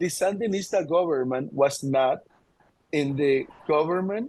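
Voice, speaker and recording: A man's lively intonation colors his fairly slow delivery. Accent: Spanish. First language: Spanish. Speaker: radio station worker. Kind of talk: video call discussion. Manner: halting.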